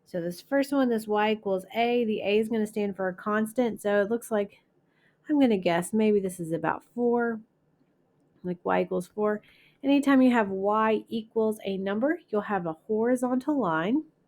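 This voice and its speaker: Speaking at a moderate pace, a woman with an ordinary speaking voice and a fairly high pitch uses ordinary pitch variation. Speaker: math teacher. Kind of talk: lecture.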